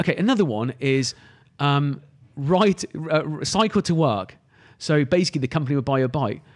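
Here a man talks at a moderate pace with a southern English accent and lively intonation. His pitch sits fairly high, and the recording is very clean over a silent background. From England, Cotswolds. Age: 30s. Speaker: recruitment agency founder. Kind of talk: podcast interview.

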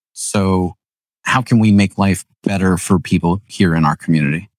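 A man in a normal speaking voice, fairly low-pitched with ordinary pitch variation, at a moderate pace, dry and close with no echo on a very clean recording with a silent background. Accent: American. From Pennsylvania, Lancaster County. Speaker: realtor and former engineer. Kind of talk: casual interview. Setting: home studio.

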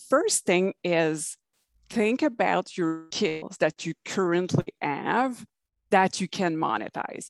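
A woman's unremarkable speaking voice, lively in intonation and fairly slow, with a dry, close sound, no echo and a quiet background. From Canada. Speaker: online business coach. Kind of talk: interview.

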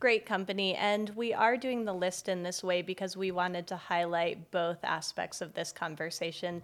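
A woman with an American accent has an ordinary speaking voice at a medium pitch. She keeps a moderate pace with hardly any pauses and fairly even intonation, in a very clean recording with a silent background. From Boulder, Colorado. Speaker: podcast host. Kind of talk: casual chat; scripted read. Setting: bookstore, in person.

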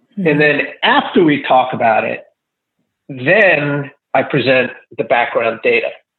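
Moderate-paced speech from a man, broken by long, frequent pauses. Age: 60s. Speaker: kinesiologist. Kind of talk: interview.

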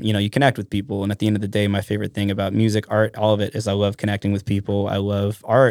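A very fast male voice with monotone, flat intonation. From Alaska, Mat-Su area (Trapper Creek). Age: 30s. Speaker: musician and tour manager. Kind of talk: casual chat.

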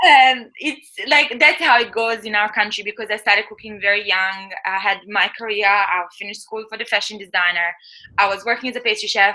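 Her voice sits at a fairly high pitch, with ordinary pitch variation and a bright, sharp tone. This woman's loudness swings widely. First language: not English. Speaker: chef and author. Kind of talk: interview.

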